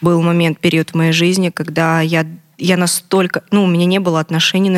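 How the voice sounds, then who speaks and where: Recorded with a dry, close sound and no echo, a woman speaks fairly quickly in a fairly low, monotone, flat voice. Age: 20s. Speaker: abuse survivor sharing her story. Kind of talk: testimony.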